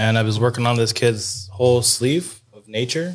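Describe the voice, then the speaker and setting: A man speaks with an ordinary speaking voice in an American accent. His pitch is medium with ordinary variation, and his pace is moderate. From New York State (Hudson Valley). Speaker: tattoo artist. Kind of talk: casual chat.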